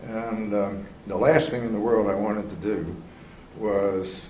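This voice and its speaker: Heard with audible room echo, a man with an American accent speaks at a fairly low pitch with ordinary pitch variation. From US, Philadelphia. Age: 70s. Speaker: organization development consultant. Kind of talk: interview conversation.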